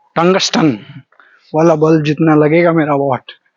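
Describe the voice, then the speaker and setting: A high-pitched man's voice in a Bihar accent, with fairly even intonation. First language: Maithili (speaking Hindi). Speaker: travel vlogger. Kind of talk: walking vlog monologue. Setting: outdoors, walking on a deserted road at night.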